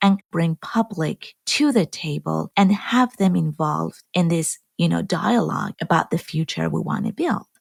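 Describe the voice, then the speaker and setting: Speaking at a moderate pace with an Iranian accent, a woman is heard in a dry, close sound with no echo. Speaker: genetic engineer and film producer. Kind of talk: podcast conversation.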